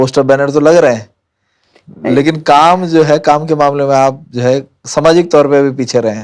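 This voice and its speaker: Here is a man with an ordinary speaking voice, pitched fairly high. He keeps his intonation fairly even at a moderate pace. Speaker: podcast host. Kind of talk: interview question.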